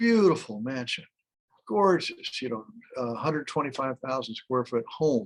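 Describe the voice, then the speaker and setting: Medium pitch for a man, with very wide pitch swings at a moderate pace. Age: 80s+. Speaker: real estate developer. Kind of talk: interview answer.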